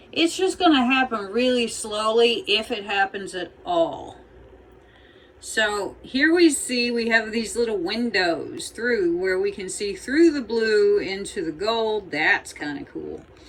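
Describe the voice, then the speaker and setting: At a fairly slow pace, the voice rises and falls in very wide pitch swings. Background noise is noticeable. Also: woman, fairly high pitch for a woman. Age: 60s. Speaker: fluid artist. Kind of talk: casual tutorial narration. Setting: home art studio. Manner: casual, chatty.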